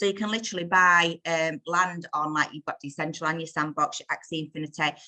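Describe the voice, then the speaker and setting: In a northern English accent, a woman with a fairly low pitch and a bright, sharp tone talks at a fairly quick pace in a dry, close sound with no echo. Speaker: crypto community call presenter. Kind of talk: casual group video call talk. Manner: fast; animated.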